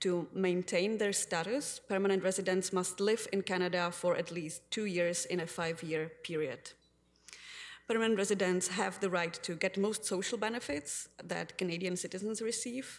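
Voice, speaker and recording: The speaker has a Czech accent. The pace is moderate. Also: woman, medium pitch for a woman, fairly even intonation. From Czech Republic. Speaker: community advocate; public delegate to city council. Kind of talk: council delegation speech. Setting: city council chamber. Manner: formal. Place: hall. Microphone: podium.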